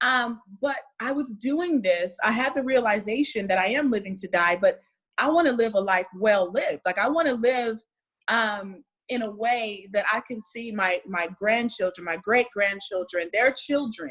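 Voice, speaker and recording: Using an ordinary speaking voice, a woman with an American accent talks at a fairly high pitch and a moderate pace with lively intonation. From United States. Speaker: wellness speaker. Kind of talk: casual interview chat.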